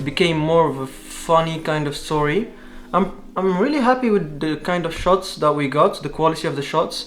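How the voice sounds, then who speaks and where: Someone with a non-native accent talks at a moderate pace with ordinary pitch variation, music playing in the background. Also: man. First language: not English. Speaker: student vlogger. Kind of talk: casual vlog talk. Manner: halting.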